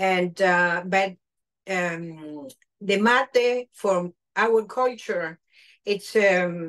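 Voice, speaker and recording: A woman with a Spanish accent talks at a very slow pace against a quiet background. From Argentina. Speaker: chef and caterer. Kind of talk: cooking demonstration. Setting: video call. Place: kitchen. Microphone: video call.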